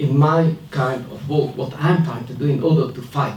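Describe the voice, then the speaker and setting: A man speaks at a moderate pace with a non-native accent and a fairly high pitch. Music plays in the background. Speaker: academic researcher, panelist. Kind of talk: panel discussion speech. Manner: hesitant, with fillers.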